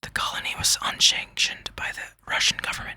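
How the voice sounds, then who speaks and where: Someone whispers at a moderate pace. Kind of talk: whispered ASMR reading of an encyclopedia article. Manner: whispered, soft; stumbling, slight stutter.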